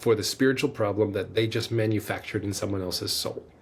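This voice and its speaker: A somewhat breathy man talks at a medium pitch, keeping his intonation fairly even. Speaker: podcast host. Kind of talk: solo podcast monologue.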